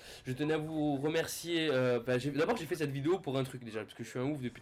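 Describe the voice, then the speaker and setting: A man's fairly high voice rushes along at a very fast pace. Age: 20s. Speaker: gaming youtuber. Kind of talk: game commentary. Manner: animated.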